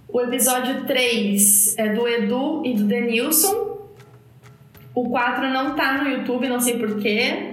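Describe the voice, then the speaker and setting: A high-pitched woman speaks at a very slow pace with very even loudness and ordinary pitch variation. Background noise is noticeable, and room echo is audible. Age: 30s. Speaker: podcast host. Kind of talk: casual chat.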